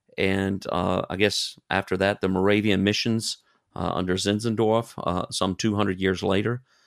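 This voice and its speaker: In an Alabama accent, a man with a fairly low pitch speaks at a moderate pace in a flat monotone with very even loudness, on a very clean recording with a silent background. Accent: Southern US (Alabama). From US South, Alabama. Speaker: missionary. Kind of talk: interview. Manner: halting.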